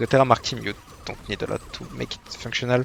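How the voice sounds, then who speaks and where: A man with a French accent speaks at a medium pitch. Noticeable background noise sits behind his voice. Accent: French accent, self-described. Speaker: gaming content creator. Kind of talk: casual gameplay commentary. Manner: hesitant, many fillers.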